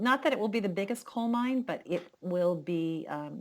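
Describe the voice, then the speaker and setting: With lively intonation and a moderate pace, a woman speaks in an unremarkable speaking voice on a very clean recording with a silent background. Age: 60s. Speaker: podcast co-host. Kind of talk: casual chat.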